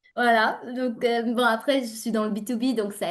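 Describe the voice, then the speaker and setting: With a slight non-native accent, a woman speaks at a fairly high pitch. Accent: slight foreign accent in French. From Uzbekistan. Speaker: entrepreneur and LinkedIn coach. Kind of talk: interview. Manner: animated.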